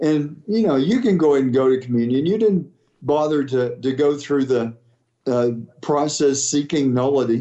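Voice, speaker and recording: A man with an ordinary speaking voice talks at a moderate pace, his pitch fairly high. His loudness stays very even, and his pitch varies in an ordinary way. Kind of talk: interview clip.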